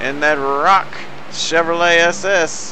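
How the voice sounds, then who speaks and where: A man with a high voice speaks amid noticeable background noise and audible room echo. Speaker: sim racing broadcaster. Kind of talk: live race commentary.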